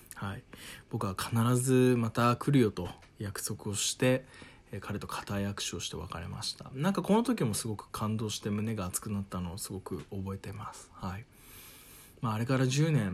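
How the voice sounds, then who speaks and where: A man's somewhat breathy, medium-pitched voice in a calm tone, moderate pace and ordinary pitch variation, with big swings in loudness. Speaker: radio personality. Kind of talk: solo travel storytelling monologue.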